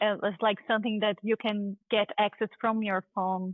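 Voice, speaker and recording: Speaking in a Brazilian accent, a woman keeps a medium pitch, a moderate pace and monotone, flat intonation. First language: Portuguese. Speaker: dentist and tech founder. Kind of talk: interview.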